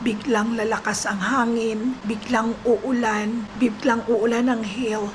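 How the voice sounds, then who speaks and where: A woman with a fairly high pitch speaks at a very slow pace in a flat monotone, with noticeable background noise and audible room echo. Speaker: vlogger. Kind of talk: casual vlog chat.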